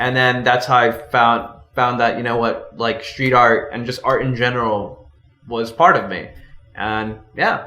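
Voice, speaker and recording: A man with an American accent speaks fairly slowly in a monotone, flat intonation, with audible room echo and noticeable background noise. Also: medium pitch for a man. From Los Angeles, US (born El Salvador). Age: 20s. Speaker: street artist. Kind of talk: casual interview chat.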